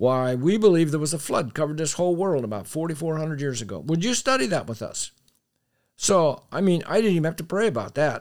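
Very fast and lively in intonation, a man with an American accent speaks at a fairly high pitch in a very clean recording with a silent background. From US Northeast (Pennsylvania). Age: 80s+. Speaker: Bible teacher and creationist author. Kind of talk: interview.

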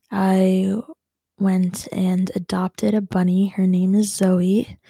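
A woman's very slow, somewhat breathy delivery, dark and mellow in tone, with fairly even intonation. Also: dry, close sound with no echo. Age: 20s. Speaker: video blogger who also teaches. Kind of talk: casual life update monologue. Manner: hesitant, many fillers.

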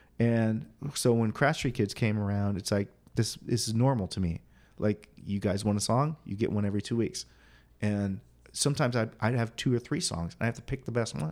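In an American accent, a man with an unremarkable speaking voice talks fairly quickly at a medium pitch with ordinary pitch variation. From Quincy, Illinois (rural western Illinois, US Midwest). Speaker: singer-songwriter and guitar teacher. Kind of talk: casual interview chat. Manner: casual, with many fillers.

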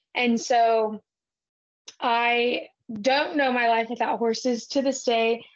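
In a Texan accent, a woman talks with monotone, flat intonation. Her pitch is fairly high. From South Texas. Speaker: ranch-raised cattle association manager and podcaster. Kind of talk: casual interview.

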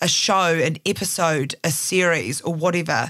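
A woman with a New Zealand accent speaks in a bright, sharp tone in a very clean recording over a silent background. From Christchurch, New Zealand. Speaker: podcast producer and journalist. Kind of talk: interview conversation.

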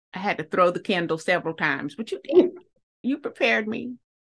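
Here a woman speaks in a Southern US accent. Her pitch is fairly high and her pace moderate. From US South. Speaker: podcast host. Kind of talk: interview. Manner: emotional.

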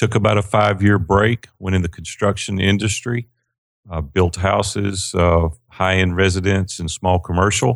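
A man with a very deep, low pitch and a Southern US accent speaks at a moderate pace with fairly even intonation on a very clean recording with a silent background. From Tennessee, Nashville. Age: 50s. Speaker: business coach. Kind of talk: interview.

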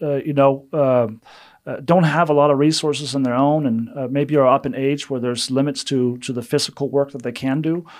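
The recording is very clean, with a silent background. A man with a Danish accent talks at a fairly quick pace. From Denmark. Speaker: missions development director. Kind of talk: interview.

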